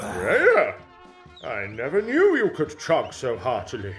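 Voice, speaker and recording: Over clear music in the background, a man uses a put-on character voice at a fairly slow pace. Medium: audio drama. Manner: booming and gullible.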